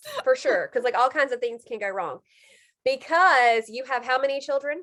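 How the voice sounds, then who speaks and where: With an American accent, a woman speaks in a high pitch and an animated tone. Her pace is moderate and her pitch variation ordinary. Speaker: health coach and video host. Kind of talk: casual interview chat.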